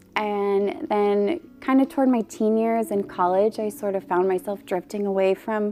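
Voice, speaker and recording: A woman with an American accent at a moderate pace, ordinary pitch variation, music in the background. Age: 20s. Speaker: church member. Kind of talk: testimony. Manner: halting.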